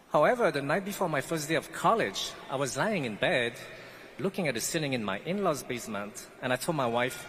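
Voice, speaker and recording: Fairly quick, fairly high-pitched speech from a man with very wide pitch swings, over noticeable background noise. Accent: non-native. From French Guiana. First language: not English. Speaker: pastry chef, commencement speaker. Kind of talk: commencement speech.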